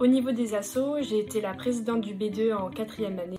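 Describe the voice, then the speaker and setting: Music plays in the background as a woman talks at a fairly quick pace. Her pitch is fairly high, with ordinary variation. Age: 20s. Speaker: engineering student. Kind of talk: testimony. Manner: hesitant with fillers.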